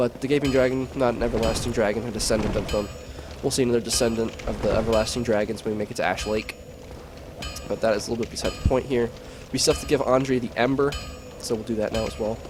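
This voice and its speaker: The speech comes at a very fast pace in a monotone, flat intonation. Music plays in the background. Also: man, medium pitch for a man. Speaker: gaming commentator. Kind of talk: gameplay commentary. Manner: casual with many fillers.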